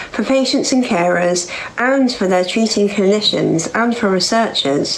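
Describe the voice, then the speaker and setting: In a London accent, a woman talks at a moderate pace with ordinary pitch variation, over noticeable background noise and audible room echo. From London, England. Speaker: cancer survivor and charity founder. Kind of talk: conference talk.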